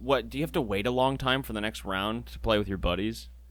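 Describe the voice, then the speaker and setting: On a very clean recording with a silent background, a man speaks at a moderate pace. His voice has vocal fry and very wide pitch swings. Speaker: podcast co-host. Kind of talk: casual chat. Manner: talkative.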